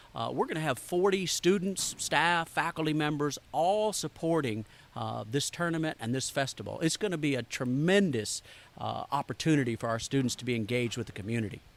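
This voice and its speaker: On a very clean recording with a silent background, a man speaks at a fairly quick pace in a fairly high voice with a Southern accent. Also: lively intonation. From US South, Arkansas. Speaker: culinary school director. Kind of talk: interview.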